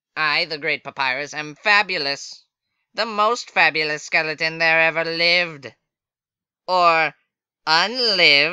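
A man puts on a character voice pitched fairly high, talking at a fairly slow pace with long, frequent pauses. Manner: exasperated; loud, boastful, theatrical.

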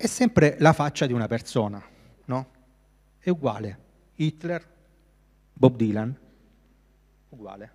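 Lively intonation and big swings in loudness mark this fairly slow delivery, broken by long, frequent pauses against a quiet background. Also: man, medium pitch for a man. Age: 30s. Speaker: graphic designer. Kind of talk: lecture. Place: hall. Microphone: handheld.

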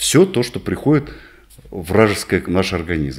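Vocal fry marks this man's fairly low voice, which swings very widely in pitch. He speaks at a moderate pace in a quiet setting. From northern Kazakhstan. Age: 60s. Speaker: physician; interviewee. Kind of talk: interview; exercise demonstration. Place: office. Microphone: studio mic.

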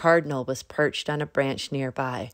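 At a moderate pace with ordinary pitch variation, the voice sits in a very clean recording with a silent background. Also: woman, extremely low pitch for a woman.

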